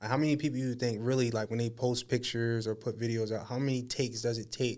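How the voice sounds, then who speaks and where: Talking very fast in an American accent, a man keeps a monotone, flat intonation. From Harrisburg, Pennsylvania, US. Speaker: podcast host. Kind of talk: casual chat.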